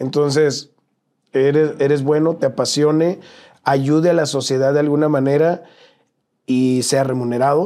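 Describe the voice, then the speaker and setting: A man's fairly high-pitched voice with a dark, mellow tone, very even loudness and fairly even intonation, at a fairly slow pace with long, frequent pauses, on a very clean recording with a silent background. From northern Mexico, Sonora (Nogales). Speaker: travel content creator. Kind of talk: casual interview.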